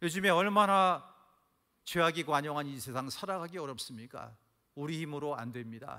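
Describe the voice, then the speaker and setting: Bright, sharp in tone, the voice moves at a moderate pace with ordinary pitch variation. Audible room echo surrounds it. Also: man, fairly high pitch for a man. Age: 60s. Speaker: pastor. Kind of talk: sermon. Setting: church. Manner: animated.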